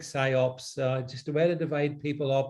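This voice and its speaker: In a Northern Irish accent, a man speaks somewhat breathily at a moderate pace. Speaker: political commentator. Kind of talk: panel discussion. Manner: halting, many repeated words.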